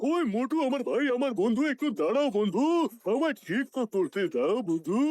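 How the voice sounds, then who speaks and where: A man's put-on character voice at an extremely high pitch, lively in intonation, at a moderate pace, with a dry, close sound and no echo. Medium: fan dub. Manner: repeats "my brother, my friend".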